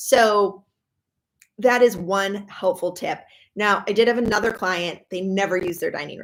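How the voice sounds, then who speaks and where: A woman speaks with an American accent at a moderate pace. Her medium pitch carries fairly even intonation. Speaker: professional organizer. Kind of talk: live stream talk. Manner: casual, many fillers.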